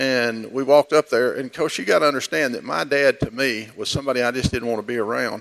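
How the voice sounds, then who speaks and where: A man with a Texas accent and medium pitch, in a dry, close sound with no echo. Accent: Texas Southern US. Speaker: church member giving testimony. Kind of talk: testimony. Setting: church service. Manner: halting.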